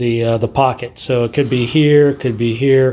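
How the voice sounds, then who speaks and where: At a moderate pace, a man delivers his words with fairly even intonation. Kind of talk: casual tutorial vlog. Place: home room. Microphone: phone near.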